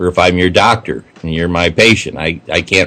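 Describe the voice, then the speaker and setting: Here a man talks at a fairly quick pace. His very deep, low voice has a bright, sharp tone. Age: 60s. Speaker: civic activist. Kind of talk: radio interview. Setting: radio show.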